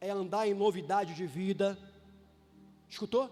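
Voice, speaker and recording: With music playing in the background, a man speaks at a high pitch. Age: 60s. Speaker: bishop / preacher. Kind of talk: sermon. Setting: church. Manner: animated.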